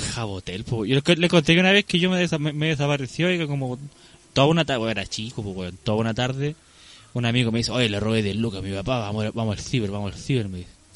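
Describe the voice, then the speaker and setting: Lively intonation marks a man's medium-pitched voice as he talks at a very fast pace. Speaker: podcast co-host. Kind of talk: casual chat.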